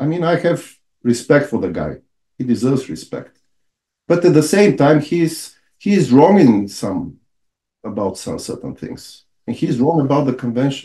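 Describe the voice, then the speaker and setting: With a Bulgarian accent, a man speaks at a moderate pace in a fairly high voice with vocal fry and lively intonation. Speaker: lawyer and author. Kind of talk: podcast interview. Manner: halting.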